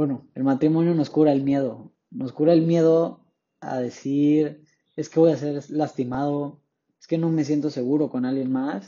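Here a man speaks at a fairly high pitch. His pace is fairly slow. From Tapachula, Chiapas, southern Mexico. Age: young. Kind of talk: religious talk podcast. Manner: animated.

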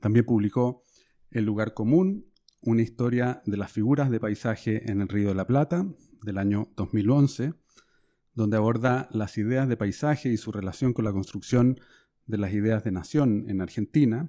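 With a Chilean accent, a man speaks at medium pitch and a moderate pace, his tone dark and mellow and his pitch variation ordinary. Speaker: podcast host, historian and professor. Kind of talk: interview. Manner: halting, frequent fillers.

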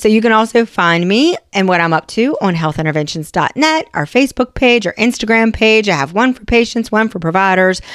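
A woman speaks at a fairly quick pace in an American accent. Her intonation is lively. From West Virginia. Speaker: nurse practitioner, podcast host. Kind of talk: educational podcast monologue. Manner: casual, conversational.

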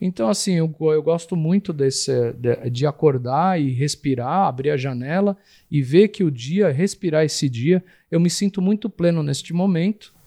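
At a moderate pace, a man speaks with a fairly high pitch and ordinary pitch variation in a dry, close sound with no echo. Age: 40s. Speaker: tattoo artist. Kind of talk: interview. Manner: hesitant, with repeated words.

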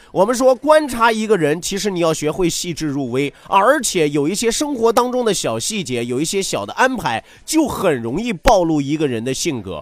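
With hardly any pauses, a man talks at a moderate pace in a high, animated voice whose pitch swings very widely, over noticeable background noise. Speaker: radio talk show host. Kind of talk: entertainment talk show monologue. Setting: radio studio. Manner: laughs often.

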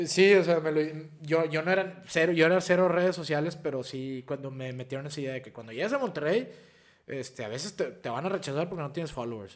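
A man talks at a very fast pace in a fairly high pitch, with ordinary pitch variation. His loudness swings widely. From Piedras Negras, Coahuila, northern Mexico. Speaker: actor. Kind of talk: casual chat.

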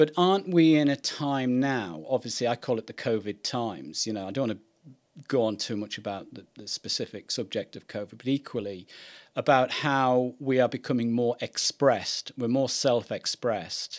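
A man speaks in a normal speaking voice at medium pitch and a moderate pace, with ordinary pitch variation and big swings in loudness. The recording is very clean and dry, close with no echo, over a silent background. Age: 50s. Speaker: podcast host. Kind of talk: interview.

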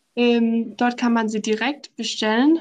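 A woman speaks with a Danish accent at a fairly high pitch. Her pace is very slow and her intonation fairly even. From southern Denmark. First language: Danish (speaking German). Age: 20s. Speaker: law student, islands promotion worker. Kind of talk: interview.

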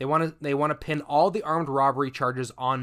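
A plain, everyday voice with a Canadian accent moves at a fairly quick pace with ordinary pitch variation. The recording is very clean, with a silent background. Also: man. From Canada. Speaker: podcast host. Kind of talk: casual chat, storytelling.

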